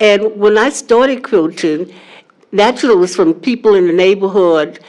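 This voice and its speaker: The voice carries a New Orleans accent and moves at a moderate pace. Its loudness stays very even, and its pitch variation is ordinary. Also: woman, medium pitch for a woman. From US South, New Orleans. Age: 70s. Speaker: quilter. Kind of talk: panel discussion. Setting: live-streamed panel event.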